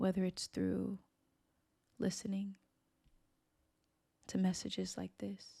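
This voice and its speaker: Calm, gentle tone at a fairly slow pace, with long, frequent pauses. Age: 30s. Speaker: spiritual teacher. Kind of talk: reflective monologue. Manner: slow, with deliberate pauses.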